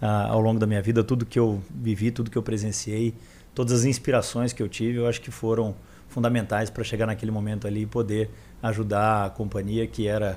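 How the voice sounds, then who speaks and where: A man with an interior São Paulo accent speaks at a fairly quick pace. His fairly low, dark, mellow voice stays monotone, with flat intonation. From interior of São Paulo state, Brazil (São José do Rio Preto). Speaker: physician and health-tech founder. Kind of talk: podcast interview. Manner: halting, with many fillers.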